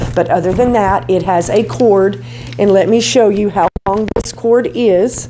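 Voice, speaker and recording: A woman's medium-pitched voice at a fairly slow pace, very even in loudness with ordinary pitch variation, amid noticeable background noise and audible room echo. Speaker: beauty vlogger. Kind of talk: tutorial. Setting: home garage studio. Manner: animated. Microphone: cheap lapel mic, distorts when loud.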